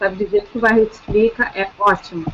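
A woman talks at a moderate pace while noticeable noise runs behind her. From São Paulo state (Taubaté). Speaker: law student and novice writer. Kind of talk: casual chat.

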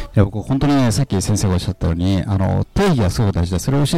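This man talks at a very fast pace with lively intonation. His pitch sits fairly low. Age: 50s. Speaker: seminar student and businessman. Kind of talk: casual chat.

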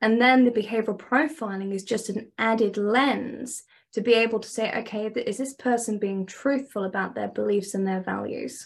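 Speaking at a moderate pace with hardly any pauses, a woman with a British accent uses a fairly high pitch and fairly even intonation over a quiet background. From England. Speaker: dating and relationship coach. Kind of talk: interview, conversational.

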